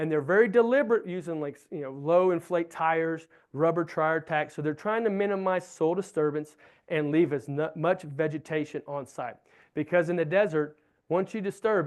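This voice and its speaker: Speaking in a Southern US accent, a man has a fairly high pitch and a fairly quick pace. His pitch varies in an ordinary way over a quiet background. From US Southeast. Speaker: wildlife researcher. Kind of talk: lecture.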